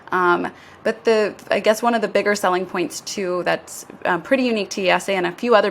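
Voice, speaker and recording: Through noticeable background noise, a woman with an American accent talks at a medium pitch with ordinary pitch variation. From USA. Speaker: business school admissions director. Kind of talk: podcast interview.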